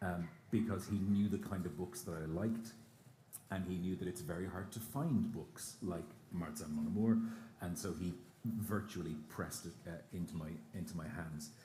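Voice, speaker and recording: Amid audible room echo, a man with a very deep, low pitch sounds somewhat breathy, dark and mellow in tone, with ordinary pitch variation. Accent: Irish. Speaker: radio broadcaster, interviewer. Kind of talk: live on-stage interview. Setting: stage with audience at outdoor festival. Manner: fast.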